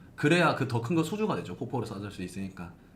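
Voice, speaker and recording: A man's somewhat breathy, medium-pitched voice in a Gyeongsang accent, with audible room echo. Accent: Gyeongsang dialect, can't lose it. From South Korea, Gyeongsang region (Gimhae). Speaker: hospital blog marketing expert. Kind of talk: live-stream Q&A.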